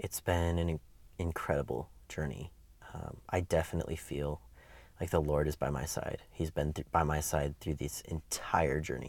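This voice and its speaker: Speech at a moderate pace carries audible vocal fry throughout. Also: man, very deep, low pitch for a man, fairly even intonation, very clean recording, silent background. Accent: American. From US Midwest, Wisconsin. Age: 20s. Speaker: interviewee sharing life story. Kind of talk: interview, personal testimony. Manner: hesitant, many fillers.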